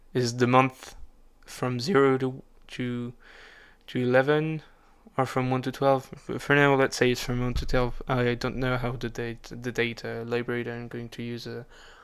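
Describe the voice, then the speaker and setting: Medium in pitch, a man with a non-native accent speaks in a monotone, flat way. The recording is very clean, with a silent background. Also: moderate pace. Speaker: programmer. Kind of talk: coding tutorial narration. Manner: halting, many fillers and restarts.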